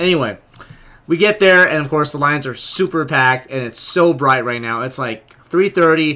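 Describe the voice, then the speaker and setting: A man speaks loudly at a moderate pace, his pitch fairly high. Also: ordinary pitch variation. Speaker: vlogger and convention delegate. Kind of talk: casual vlog. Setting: outdoors in a line.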